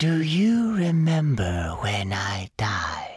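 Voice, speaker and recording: A man's put-on character voice, fairly high in pitch, very slow, with very wide pitch swings. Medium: read story. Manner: emotionless, detached.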